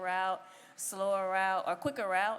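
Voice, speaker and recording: This woman has an American accent. She talks at a moderate pace. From US South. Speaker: bodybuilding competitor. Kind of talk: post-show interview.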